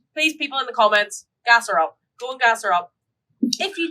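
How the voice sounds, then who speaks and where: A woman with a Northern Irish accent speaks at a moderate pace and high pitch with a bright, sharp tone. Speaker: podcast co-host. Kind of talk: casual chat. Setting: live stream.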